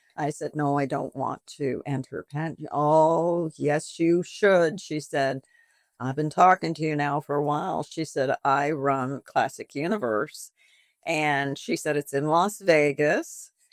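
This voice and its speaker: A woman speaks with a very deep, low pitch at a fairly slow pace. The sound is dry and close, with no echo. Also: ordinary pitch variation. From Canada. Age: 70s. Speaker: boutique owner and pageant winner. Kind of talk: interview. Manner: chatty, talkative; animated.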